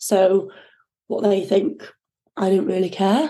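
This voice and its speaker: Speaking with a Yorkshire accent, a woman has a medium pitch and a dark, mellow tone. Her pace is moderate. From northern England, North Yorkshire (Thirsk). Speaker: ocean rower and endurance swimmer. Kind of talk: interview. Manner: hesitant, many fillers.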